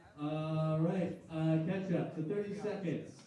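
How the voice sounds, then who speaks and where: Over noticeable background noise, a man with a high pitch speaks at a very slow pace with fairly even intonation. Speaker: stand-up comedian and game show host. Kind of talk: live comedy game show hosting. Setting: comedy club stage, live audience.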